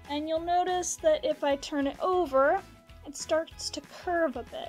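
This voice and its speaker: A high-pitched woman at a fairly slow pace, with faint music in the background. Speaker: pottery teacher. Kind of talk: tutorial. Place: workshop.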